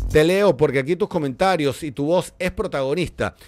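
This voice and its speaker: Animated in tone, a man speaks at a moderate pace. His intonation is lively. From Venezuela. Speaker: football pundit. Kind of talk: solo commentary video. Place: studio. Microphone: studio mic.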